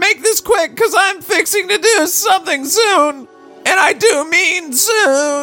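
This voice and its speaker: A man in a put-on character voice at a fairly slow pace, with faint music in the background. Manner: impatient.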